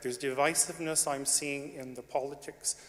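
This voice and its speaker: Fairly quick and flat, a man's fairly high-pitched voice stays monotone, with a Canadian accent. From Canada. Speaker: audience member speaking in debate. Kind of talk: debate floor speech. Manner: halting.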